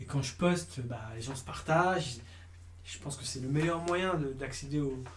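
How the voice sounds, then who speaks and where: A man speaks with lively intonation and big swings in loudness. Room echo is audible, and background noise is noticeable. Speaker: casting director. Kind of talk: interview. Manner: fast; halting.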